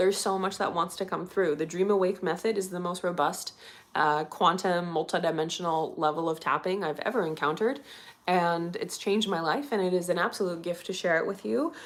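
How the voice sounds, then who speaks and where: This is a woman speaking at a medium pitch. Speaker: EFT tapping coach for artists. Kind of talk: live-stream wrap-up after guided tapping session. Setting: livestream. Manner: calm, grounded.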